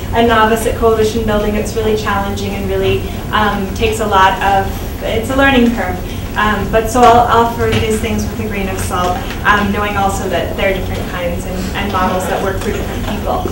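The female speaker talks somewhat quickly while background noise is clearly heard. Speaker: guest. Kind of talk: talk to workshop audience. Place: classroom.

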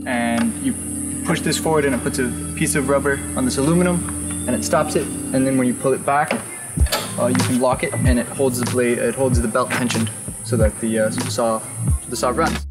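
A man talks fairly quickly. Music plays clearly behind him. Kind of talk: interview explanation. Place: workshop.

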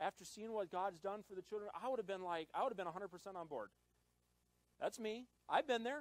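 A man's high, animated voice at a fairly quick pace, with ordinary pitch variation, long, frequent pauses and a dry sound with no echo. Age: 20s. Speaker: pastor. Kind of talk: sermon. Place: church. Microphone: handheld.

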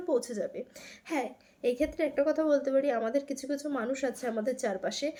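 A woman speaks at a high pitch with fairly even intonation. Her tone is dark and mellow. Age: 20s. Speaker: vlogger. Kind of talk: casual vlog talk to camera.

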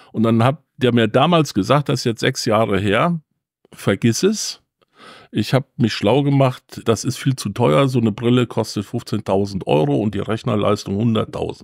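A man with a medium pitch speaks at a fairly slow pace, his intonation lively and touched with vocal fry. The recording is very clean and dry, with a silent background and no echo. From Germany, Siegen area. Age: 60s. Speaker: museum volunteer, former pharma employee. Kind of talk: interview, storytelling. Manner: animated.

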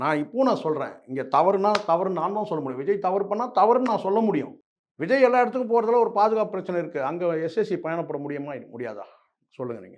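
A high-pitched man's voice with very wide pitch swings and big shifts in loudness. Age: 50s. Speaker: political commentator. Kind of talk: interview. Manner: animated.

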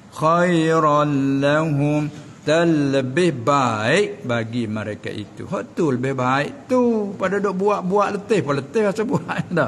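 A man talks at a very slow pace with a fairly high pitch. His pitch swings very widely. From Southern Thailand. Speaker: religious teacher. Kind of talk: religious lecture. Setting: Islamic boarding school. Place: hall. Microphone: studio mic.

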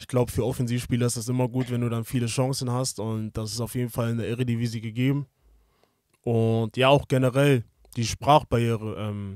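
In a monotone, flat voice, a man speaks at a moderate pace against a quiet background, with a dry sound and no echo. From Hamburg, northern Germany; Germany. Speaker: professional footballer; podcast guest. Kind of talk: interview. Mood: relaxed, reflective. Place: studio. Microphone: studio mic.

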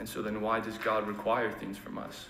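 A man's fairly low voice at a moderate pace, with audible room echo and light background noise. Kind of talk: sermon. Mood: earnest, calm. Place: church.

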